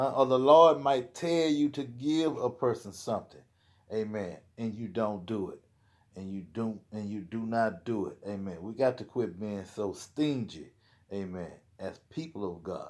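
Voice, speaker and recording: At a fairly slow pace, a man speaks with big swings in loudness over a quiet background. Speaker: lay preacher. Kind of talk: sermon. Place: home room. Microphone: phone near.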